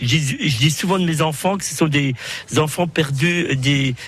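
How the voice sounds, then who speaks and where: The man keeps to a moderate pace. Behind him, noticeable background noise can be heard. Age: 60s. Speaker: amateur football club president. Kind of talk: casual chat. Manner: hesitant, frequent fillers.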